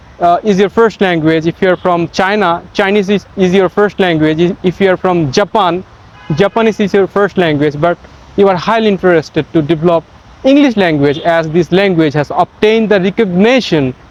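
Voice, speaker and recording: With a Bengali accent, a man speaks at a high pitch. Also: ordinary pitch variation, moderate pace, very even loudness, dry, close sound with no echo. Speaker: English teacher. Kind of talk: tutorial. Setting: outdoors in a park.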